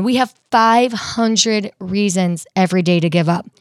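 An unremarkable speaking voice talks at a fairly slow pace with ordinary pitch variation, in a dry, close sound with no echo on a very clean recording with a silent background. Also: woman. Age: 30s. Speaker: personal trainer. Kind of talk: casual interview.

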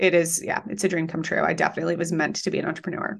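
Against a quiet background, a woman with an American accent speaks with vocal fry. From Colorado. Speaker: online business coach. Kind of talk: interview conversation.

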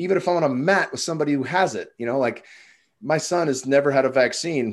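A man speaks in an ordinary speaking voice with lively intonation. His pace is fairly quick, and the background is quiet. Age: 30s. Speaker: former cage fighter and coach. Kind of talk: casual chat.

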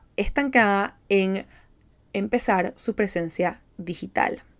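Here a woman speaks at medium pitch in an animated tone. Her pace is fairly slow, and the recording is very clean with a silent background. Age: 20s. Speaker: psychologist and manifestation coach, podcast host. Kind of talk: solo motivational podcast talk.

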